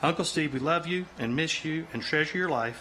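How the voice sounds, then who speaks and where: Against noticeable background noise, a man with an American accent speaks at a moderate pace, his fairly high pitch showing ordinary variation. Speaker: nephew giving a funeral eulogy. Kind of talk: funeral eulogy, spoken to an audience. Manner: sincere, conversational, with frequent filler words.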